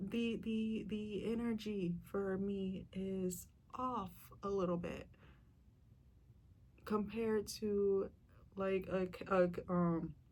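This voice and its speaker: A woman at medium pitch, very slow, with long, frequent pauses, flat monotone delivery and audible room echo. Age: 20s. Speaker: vlogger. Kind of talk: casual monologue vlog. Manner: halting, many repetitions.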